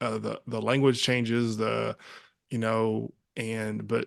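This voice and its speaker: A man speaks with a West Texas accent. The background is quiet. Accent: West Texas American. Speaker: podcast host, army veteran. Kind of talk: casual interview chat. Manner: fast; words run together.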